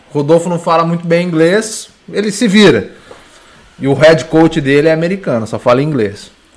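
A man at a moderate pace with lively intonation over noticeable background noise. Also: fairly high pitch for a man. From interior of São Paulo state, Brazil. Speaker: fitness coach and nutritionist. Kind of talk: casual podcast interview.

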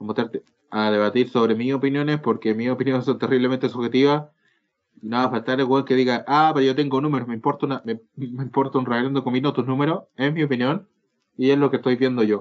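A man speaks at a fairly quick pace in a medium pitch. His intonation stays fairly even. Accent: Chilean. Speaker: podcast co-host, law student. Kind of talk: casual chat. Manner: halting.

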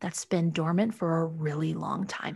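Somewhat breathy and animated, the voice carries an enthusiastic tone at a moderate pace against a quiet background. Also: woman. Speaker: podcast host. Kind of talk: podcast hosting, conversational and promotional. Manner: animated, enthusiastic.

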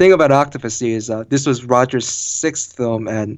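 Using a plain, everyday voice, a man with an American accent talks at a moderate pace and medium pitch with ordinary pitch variation. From Korea and Baltimore, Maryland. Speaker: vehicle test engineer and podcast co-host. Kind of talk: casual interview chat.

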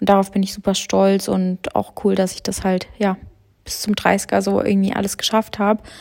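At a moderate pace, a woman speaks at a medium pitch. Her intonation is monotone and flat. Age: 20s. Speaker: podcast host and content creator. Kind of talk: casual solo monologue. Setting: at home on the couch. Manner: chatty, with many filler sounds.

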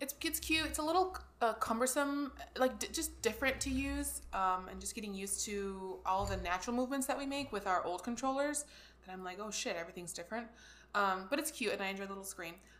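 Against noticeable background noise, a woman talks at a very fast pace and medium pitch, her intonation lively. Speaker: podcast host. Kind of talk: casual chat.

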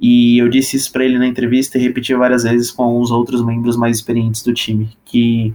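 A man's voice sits at medium pitch and moves at a fairly quick pace. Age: 20s. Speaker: cybersecurity risk lead. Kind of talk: casual chat.

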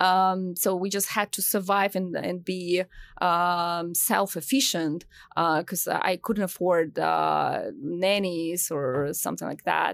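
A woman talks at a very slow pace in a fairly low voice with fairly even intonation. The recording is very clean, with a silent background. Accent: Russian. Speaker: tech company founder. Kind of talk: interview. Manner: halting.

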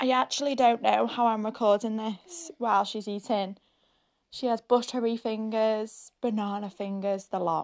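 A woman's fairly high voice with a Scottish accent, moderate pace and ordinary pitch variation, against a quiet background. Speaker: podcast host. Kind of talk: casual chat.

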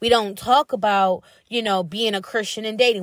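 Fairly high in pitch, a woman speaks in an animated tone. Her pace is moderate, with ordinary pitch variation. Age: 30s. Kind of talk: casual monologue.

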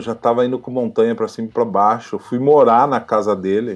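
A man's voice over music in the background. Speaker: professional wrestler. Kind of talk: interview.

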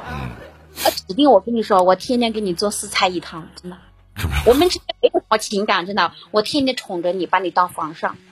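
Speaking at a fairly quick pace, a woman uses a medium pitch with big swings in loudness. The sound is dry and close with no echo, and background noise is noticeable. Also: ordinary pitch variation. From Guilin, Guangxi, southern China. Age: 30s. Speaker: caller. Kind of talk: casual chat.

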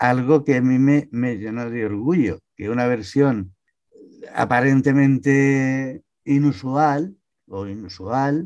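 Medium pitch and ordinary pitch variation from a man. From Barcelona, Spain (born in Almería). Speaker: novelist, retired banker. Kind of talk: interview.

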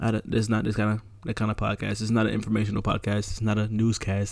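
Talking at a very fast pace, a man delivers his words at a fairly low pitch in a monotone, flat intonation. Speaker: podcast host. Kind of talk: casual chat, rant. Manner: talkative, chatty.

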